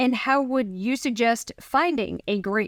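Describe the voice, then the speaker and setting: A woman with an American accent has an ordinary speaking voice, fairly high in pitch, with lively intonation. The recording is very clean and dry, close with no echo, over a silent background. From northern US. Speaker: realtor. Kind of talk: casual interview.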